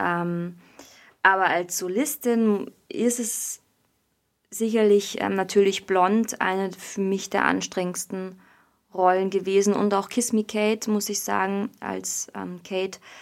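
At a very slow pace with long, frequent pauses, a woman speaks at a medium pitch with fairly even intonation. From Bavaria. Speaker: musical theatre performer. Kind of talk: casual interview.

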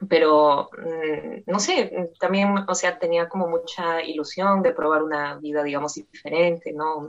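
A woman with an ordinary speaking voice keeps a fairly low pitch, her intonation fairly even. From Peru. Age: 20s. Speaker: polyglot language learner. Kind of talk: interview.

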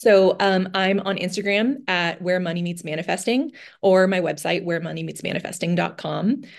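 A woman with an American accent talks at a moderate pace with a medium pitch and ordinary pitch variation. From US West Coast, San Francisco Bay Area. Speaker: financial coach. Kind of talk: casual interview chat.

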